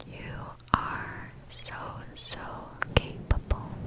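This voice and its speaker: Over noticeable background noise, a woman whispers in a gentle tone. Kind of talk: ASMR positive affirmations. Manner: whispered, soft, gentle.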